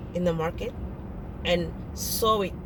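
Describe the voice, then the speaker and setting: Audible room echo and noticeable background noise both surround a woman's speech. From francophone Africa. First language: French. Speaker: vlogger. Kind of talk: casual monologue. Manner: halting.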